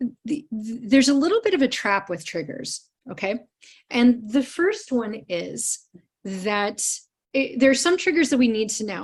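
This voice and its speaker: A woman with an American accent, high pitch, lively intonation and a fairly slow pace. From US Midwest, Cleveland, Ohio. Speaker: trauma care trainer. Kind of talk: live online training presentation.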